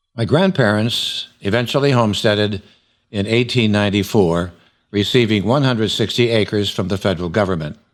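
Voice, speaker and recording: A man's fairly low-pitched voice, an ordinary speaking voice, at a fairly quick pace with ordinary pitch variation, on a very clean recording against a silent background. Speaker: oral history interviewer. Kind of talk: documentary narration.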